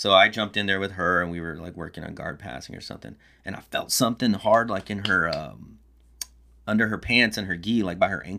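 With an American accent, a man talks at a fairly quick pace in a bright, sharp tone, his loudness swinging widely while his pitch varies in an ordinary way. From Texas, Corpus Christi. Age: 40s. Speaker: college teacher and jiu-jitsu practitioner. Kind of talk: casual chat.

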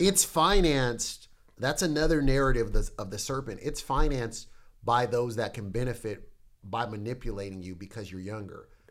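With an ordinary speaking voice at medium pitch, a man talks at a moderate pace. His intonation is lively and his loudness swings widely. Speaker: pastor. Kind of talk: casual chat. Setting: studio.

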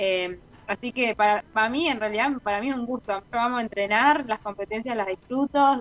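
In an ordinary speaking voice, a woman talks at a moderate pace with fairly even intonation, the sound dry and close with no echo. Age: 20s. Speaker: professional athlete. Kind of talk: interview.

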